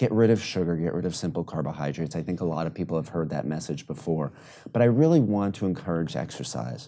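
In a very clean recording with a silent background, a man with a very deep, low pitch and a dark, mellow tone talks at a very fast pace with vocal fry. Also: lively intonation. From New York City. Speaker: physician. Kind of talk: interview.

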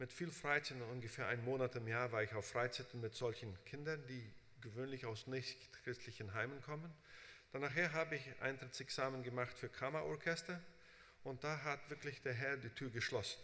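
Man at medium pitch, ordinary pitch variation and a moderate pace, with noticeable background noise. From Brazil. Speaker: preacher and Bible seminary teacher. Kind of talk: sermon. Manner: frequent fillers, halting.

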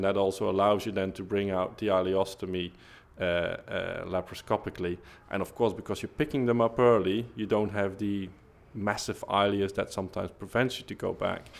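Fairly quick pace with monotone, flat intonation. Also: man. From Belgium, Flanders. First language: Dutch (Flemish). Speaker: colorectal surgeon. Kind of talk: interview. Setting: conference corridor.

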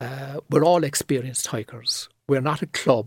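A man with a Cork accent speaks at a fairly quick pace in a medium, somewhat breathy voice, the sound dry and close with no echo on a very clean recording with a silent background. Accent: Cork Irish. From Ireland, east Cork (seaside town). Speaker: property photographer. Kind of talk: casual interview. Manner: articulate, measured.

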